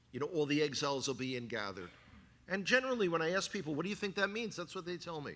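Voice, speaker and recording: A man with a fairly high pitch speaks at a very fast pace, his pitch swinging very widely. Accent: New York. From New York City (the Bronx). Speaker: guest speaker, former Israel tour guide. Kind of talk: sermon. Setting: church congregation with slides. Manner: animated.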